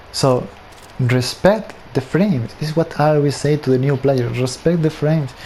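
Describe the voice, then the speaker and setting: A man with a non-native accent, fairly high in pitch, at a moderate pace and with ordinary pitch variation. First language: not English. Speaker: gaming tutorial creator. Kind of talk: tutorial. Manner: casual, conversational.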